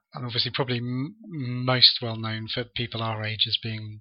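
Moderate in pace, a man speaks. There is little pitch movement.

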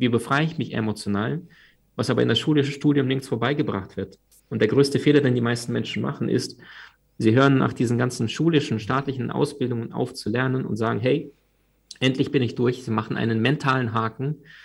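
A man speaks at a fairly quick pace with vocal fry. His pitch is medium and his intonation fairly even. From Crimea, Ukraine; moved to Germany at twelve. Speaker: personal development coach and author. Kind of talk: podcast interview.

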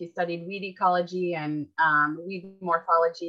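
The woman has a fairly low pitch and an Upper Midwest accent. She speaks at a moderate pace. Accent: Upper Midwest American. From US Midwest, Minneapolis, Minnesota. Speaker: writer and author. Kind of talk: interview. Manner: halting, many fillers.

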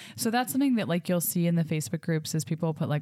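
Over noticeable background noise, a woman talks at a very fast pace with a very deep, low pitch and very wide pitch swings. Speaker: host mom and podcast host. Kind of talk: casual chat. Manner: animated.

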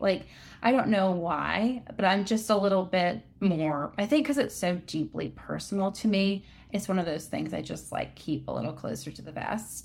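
A medium-pitched woman's voice with vocal fry, lively intonation and a moderate pace, on a very clean recording with a silent background. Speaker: fiction author and former athlete. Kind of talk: casual interview chat.

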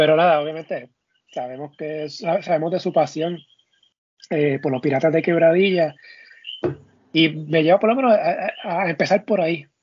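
A man's high-pitched voice with ordinary pitch variation, at a moderate pace broken by long, frequent pauses. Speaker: sports podcast host. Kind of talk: casual chat.

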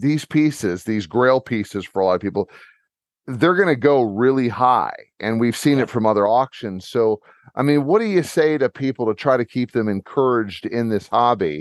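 Here is a man with an ordinary speaking voice, medium pitch and lively intonation, at a moderate pace. The sound is dry and close with no echo, over a quiet background. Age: 50s. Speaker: podcast host, retired corrections officer. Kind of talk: casual interview.

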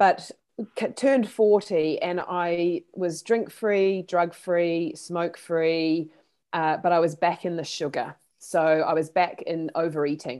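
A woman with a New Zealand accent, fairly low in pitch, at a very slow pace. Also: ordinary pitch variation. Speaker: therapist. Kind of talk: interview. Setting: video call.

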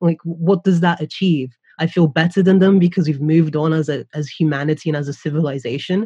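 A woman's dark, mellow, somewhat breathy voice at a moderate pace, with ordinary pitch variation. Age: 20s. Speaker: guest, youth worker. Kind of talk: casual discussion.

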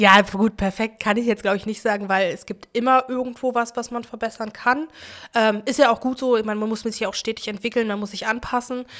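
A woman has a normal speaking voice, pitched fairly high, with fairly even intonation. The recording is very clean, with a silent background. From Berlin-Neukölln. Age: 20s. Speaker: trade union youth activist. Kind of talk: casual interview.

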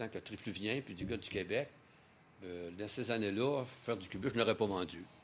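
Speaking at a moderate pace with a Quebec accent, a man uses lively intonation. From Quebec, Trois-Rivières. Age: 60s. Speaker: painter. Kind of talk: interview. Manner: halting, with repetitions.

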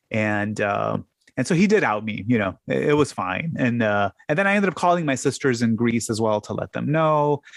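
A man with a Chicago accent talks at a moderate pace in a medium pitch. His intonation is lively, and the sound is dry and close with no echo. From US Midwest (south side of Chicago). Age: 50s. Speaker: podcaster and tax business owner. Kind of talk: casual chat.

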